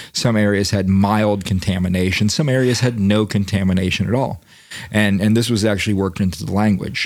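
In an American accent and a normal speaking voice, a man talks at a fairly quick pace with fairly low pitch, fairly even intonation and very even loudness. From Florida, US South. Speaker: podcast host. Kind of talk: casual chat.

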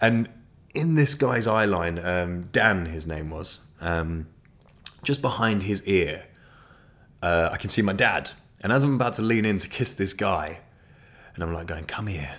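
In a southern English accent, a man with a very deep, low pitch talks at a fairly slow pace with long, frequent pauses. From southeast England (Ashford, Kent). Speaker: podcast host. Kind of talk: casual monologue. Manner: animated.

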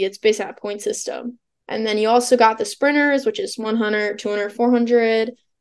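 A plain, everyday voice with an American accent, moving at a moderate pace. Its intonation stays fairly even. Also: woman. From Illinois. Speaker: college track and field athlete. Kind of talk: interview.

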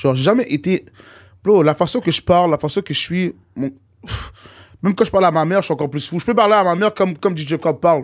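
A man's high voice at a very fast pace, broken by long, frequent pauses, with ordinary pitch variation, in a very clean recording with a silent background. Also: dry, close sound with no echo. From Montreal, Saint-Michel. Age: 20s. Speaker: rapper. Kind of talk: casual chat.

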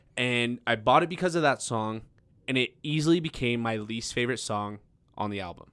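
Speaking in an American accent with an unremarkable speaking voice, a man of medium pitch keeps a fairly quick pace and ordinary pitch variation. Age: 20s. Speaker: podcast host, comedian. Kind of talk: casual chat.

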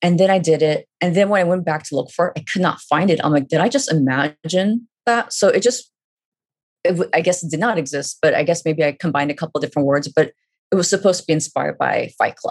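A woman talks at a very fast pace. Her pitch is fairly low, with ordinary pitch variation. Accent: Californian. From Northern California, Fremont. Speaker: graphic novel writer. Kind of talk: interview.

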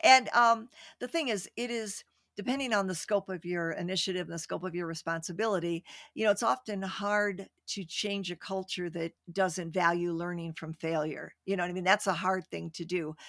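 A woman uses an ordinary speaking voice at a medium pitch, with ordinary pitch variation. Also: moderate pace, dry, close sound with no echo. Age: 60s. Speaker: retired executive and author. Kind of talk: casual interview chat. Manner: playful, warm.

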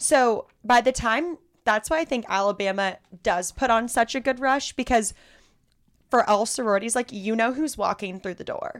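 The recording is very clean, with a silent background. A woman talks at a moderate pace in a plain, everyday voice with a fairly high pitch. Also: ordinary pitch variation. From Southern California. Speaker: former sorority member. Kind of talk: casual chat. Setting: studio.

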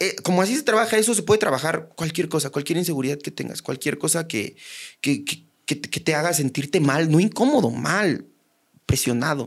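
A man speaks at a fairly high pitch with vocal fry. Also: fairly quick pace. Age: 30s. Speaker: stand-up comedian. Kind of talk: casual chat.

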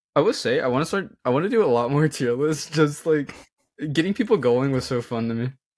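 The recording is very clean, with a silent background. A man with a plain, everyday voice talks at a fairly quick pace with fairly high pitch and lively intonation. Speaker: podcast co-host. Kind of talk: casual chat.

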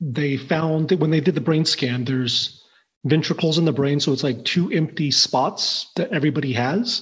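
A man speaks at a fairly high pitch and moderate pace with ordinary pitch variation. His voice is somewhat breathy, and his loudness stays very even. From southwest Missouri, born in Taiwan. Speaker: insurance professional, father. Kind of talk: interview conversation.

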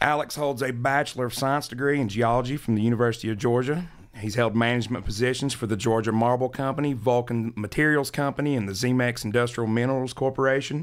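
Talking at a very fast pace with hardly any pauses, a man with an American accent speaks at a medium pitch. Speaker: podcast co-host, house builder. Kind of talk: casual interview chat. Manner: excited.

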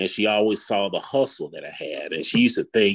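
A man with an Alabama accent at a fairly quick pace. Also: very clean recording, silent background. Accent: US South, Alabama. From Huntsville, Alabama. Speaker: parent sharing experience. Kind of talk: casual chat.

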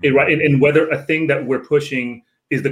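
Using a plain, everyday voice, a man varies his pitch in an ordinary way and keeps a moderate pace. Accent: American. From Northern Virginia (DC area), Filipino community. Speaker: professor and author. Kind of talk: casual interview.

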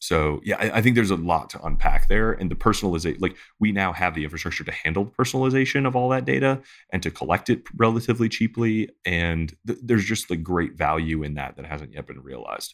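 Rattling along at a very fast pace with hardly any pauses, a man with an American accent speaks in a fairly low voice with lively intonation and big swings in loudness, on a very clean recording with a silent background. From US Midwest (Detroit). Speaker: author and startup investor. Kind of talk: casual interview chat.

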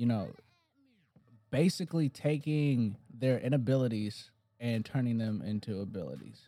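A man talks at a fairly slow pace with a medium pitch. Music plays in the background. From Detroit, Michigan. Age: 20s. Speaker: fitness trainer and podcast co-host. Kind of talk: casual chat.

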